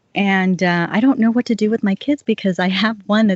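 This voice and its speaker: Her voice is somewhat breathy. This woman talks in an American accent. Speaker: podcast host. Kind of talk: interview.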